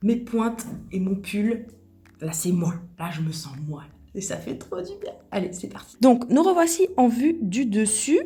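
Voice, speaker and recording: A woman talks at a very slow pace, fairly high-pitched with very wide pitch swings and big swings in loudness, in audible room echo. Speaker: nail technician. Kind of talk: tutorial. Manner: soft-spoken; casual.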